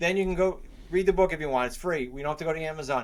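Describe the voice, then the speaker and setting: Speaking at a very fast pace in a New England accent, a man has a fairly high pitch and ordinary pitch variation. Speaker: real estate investor and coach. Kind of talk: interview.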